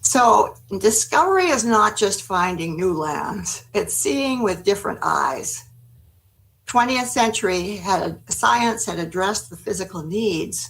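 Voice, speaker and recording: Speaking at a fairly slow pace with vocal fry, a woman lets her pitch swing very widely. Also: medium pitch for a woman. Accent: American. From United States. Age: 80s+. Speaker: gerontology expert, former city planner. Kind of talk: webinar presentation. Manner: halting.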